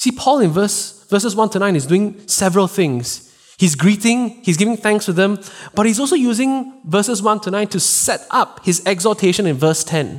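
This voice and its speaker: Lively intonation runs through this man's voice. His pitch is high. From Singapore. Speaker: pastor. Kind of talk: sermon. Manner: fast.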